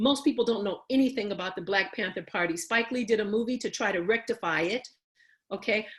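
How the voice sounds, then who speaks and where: Speaking quickly, a woman with an American accent has a fairly high, somewhat breathy voice. Her pitch varies in an ordinary way. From Chicago (Bronzeville). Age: 60s. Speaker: panelist on racism. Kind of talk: panel talk, history presentation. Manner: repetitive, emphatic.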